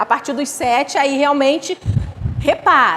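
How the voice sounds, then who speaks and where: A woman talks at a moderate pace in a high voice with an animated tone. Noticeable background noise runs behind her. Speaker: spiritist lecturer. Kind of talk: lecture.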